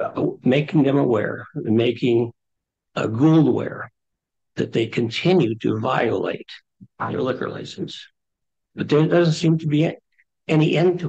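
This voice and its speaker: Against a quiet background, a man with a dark, mellow tone and vocal fry talks at a fairly slow pace, using ordinary pitch variation and long, frequent pauses. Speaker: resident speaking at public comment. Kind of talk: public comment at town meeting. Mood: concerned, complaining. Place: meeting room. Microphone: camera far.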